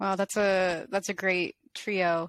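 In a dry, close sound with no echo, a woman with an ordinary speaking voice talks at a medium pitch with fairly even intonation. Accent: American. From Colorado, US. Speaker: painter and video artist, interviewer. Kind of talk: casual interview, asking questions.

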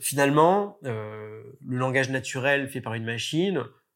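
A man talks. The recording is very clean, its background silent. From France. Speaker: marketing agency executive. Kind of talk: interview. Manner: hesitant, many fillers.

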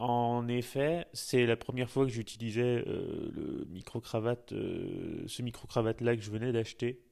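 A man with a dark, mellow tone and medium pitch speaks at a very slow pace. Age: 30s. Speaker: podcast host. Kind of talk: interview.

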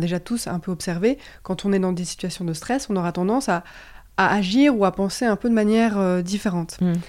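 A woman speaks at a moderate pace and a medium pitch, with lively intonation. The recording is very clean, with a silent background. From Belgium. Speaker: enneagram coach and trainer. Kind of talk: interview conversation. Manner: halting, many repetitions and fillers.

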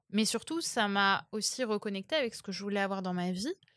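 In a very clean recording with a silent background, a woman speaks at a very fast pace with medium pitch. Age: 20s. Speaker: dating coach. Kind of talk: casual chat.

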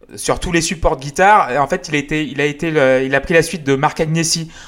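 A man in an ordinary speaking voice talks at a fairly quick pace, his fairly high pitch showing ordinary pitch variation. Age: 30s. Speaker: music podcast host. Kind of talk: casual chat.

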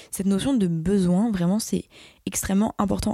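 Dry and close with no echo, a woman's somewhat breathy voice carries a dark, mellow tone at a medium pitch, a moderate pace, and fairly even intonation. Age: young. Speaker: podcast host and social media creator. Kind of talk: casual solo monologue.

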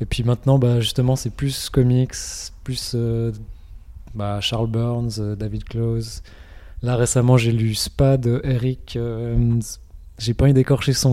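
A man speaks at a very slow pace, with a medium pitch and a dark, mellow tone. His intonation is monotone and flat. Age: 20s. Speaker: comic book artist. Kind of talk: interview. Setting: comic festival. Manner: halting.

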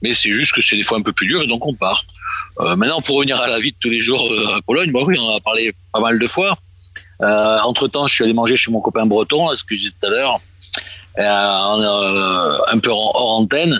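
A plain, everyday voice at a moderate pace. The pitch varies in an ordinary way. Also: man, medium pitch for a man. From Marseille, southern France. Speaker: expatriate association official. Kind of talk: radio discussion.

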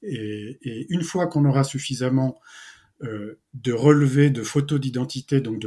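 A man with a somewhat breathy, dark and mellow voice at medium pitch, recorded very cleanly against a silent background. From France, Brittany. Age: 50s. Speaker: entrepreneur and ocean conservation association founder. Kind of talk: interview. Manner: halting, many hesitations.

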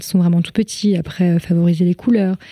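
A woman's dark, mellow, somewhat breathy voice at medium pitch, monotone and flat in intonation, with a dry, close sound and no echo. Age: 30s. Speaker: former history-geography teacher and mother. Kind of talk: interview about parenting experience. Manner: hesitant, many fillers.

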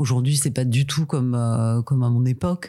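A woman speaks at a moderate pace with a very deep, low pitch and a dark, mellow tone. The recording is very clean, with a silent background. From France, provinces, Corsican family. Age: 50s. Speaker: interviewee, working mother. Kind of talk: casual interview. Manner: hesitant, many fillers.

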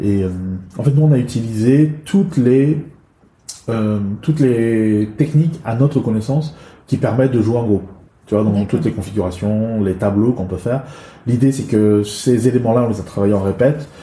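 Somewhat breathy and dark, mellow in tone, a man speaks at a moderate pace with ordinary pitch variation. He takes long, frequent pauses. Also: medium pitch for a man. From China, moved to France at 11. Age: 40s. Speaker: improv actor and trainer. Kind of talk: interview.

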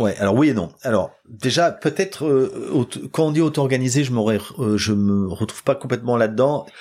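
With an ordinary speaking voice, a man of medium pitch talks at a moderate pace with lively intonation and very even loudness, recorded very cleanly against a silent background. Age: 50s. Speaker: tech company CEO and founder. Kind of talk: interview. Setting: office.

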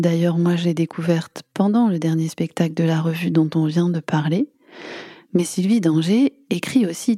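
A woman with a plain, everyday voice speaks at a fairly slow pace and a fairly low pitch, with ordinary pitch variation and a dry, close sound with no echo. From Boulogne-sur-Mer, Pas-de-Calais. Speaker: podcast host. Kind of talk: interview. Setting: in a car.

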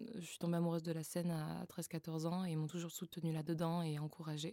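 A woman's fairly low-pitched, dark and mellow voice, flat and monotone, at a fairly quick clip. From southern France, Frontignan. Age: 20s. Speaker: singer and vocal coach. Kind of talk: casual interview. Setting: recording studio.

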